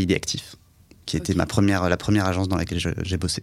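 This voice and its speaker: This man's voice sits at a very deep, low pitch. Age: 30s. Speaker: advertising agency executive. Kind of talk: interview.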